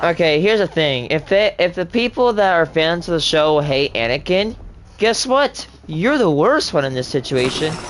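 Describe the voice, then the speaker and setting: Background noise is noticeable as a man talks in a high voice. His pace is moderate. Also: lively intonation. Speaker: gaming streamer. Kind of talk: casual chat. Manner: animated.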